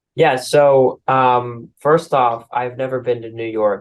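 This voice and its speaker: The man speaks with an American accent over a quiet background. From St. Louis, Missouri, US Midwest. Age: young, about 19. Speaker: young entrepreneur. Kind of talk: interview. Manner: casual, filler-heavy.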